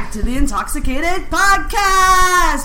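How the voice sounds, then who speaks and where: In a put-on character voice pitched extremely high, a woman speaks at a fairly slow pace over clear background noise. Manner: over-the-top announcer.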